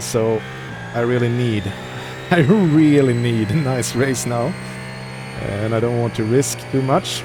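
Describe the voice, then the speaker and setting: At a fairly slow pace, the speech plays with music in the background. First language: not English. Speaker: sim racing streamer. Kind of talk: live gameplay commentary. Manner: casual, thinking aloud.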